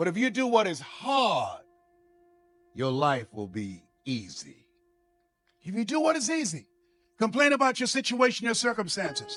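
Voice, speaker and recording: Over background music, a man speaks at an extremely high pitch with very wide pitch swings. He keeps a moderate pace broken by long, frequent pauses. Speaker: motivational speaker. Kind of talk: motivational speech. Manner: emphatic, repetitive.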